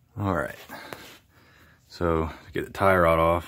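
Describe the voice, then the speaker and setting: The voice is quiet and monotone, with flat intonation. It moves at a fairly slow pace. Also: man. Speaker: DIY car repair hobbyist. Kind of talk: tutorial. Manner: casual.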